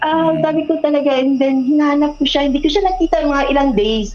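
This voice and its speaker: A high-pitched woman talking very fast over noticeable background noise. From Philippines, provinces. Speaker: guest storyteller. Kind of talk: personal storytelling.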